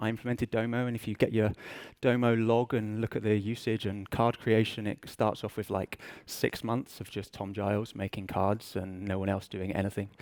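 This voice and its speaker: A man with an English accent talks at a moderate pace in a fairly low-pitched, monotone voice with flat intonation. The recording is very clean, with a silent background. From England. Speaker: business intelligence director, conference speaker. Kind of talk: conference presentation. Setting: stage with audience. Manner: casual, self-deprecating with fillers.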